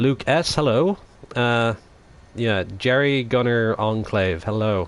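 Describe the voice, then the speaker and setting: A man speaks at a very slow pace with an Irish accent. His pitch sits in the medium range and varies in an ordinary way. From Ireland. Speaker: gaming live streamer. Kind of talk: live gameplay stream chat. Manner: casual, hesitant with fillers.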